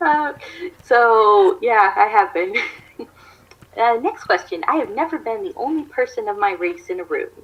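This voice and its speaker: Speaking with an American accent, a woman uses a high voice with very wide pitch swings. She keeps a moderate pace with long, frequent pauses, and background noise is noticeable. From US, Maryland. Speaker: YouTuber. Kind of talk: casual chat.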